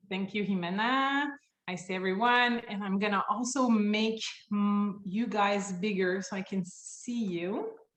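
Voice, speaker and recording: A woman of medium pitch speaks with a French accent. Her pace is fairly slow. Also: fairly even intonation. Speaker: company founder and CEO. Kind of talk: webinar presentation. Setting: video call. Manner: loud.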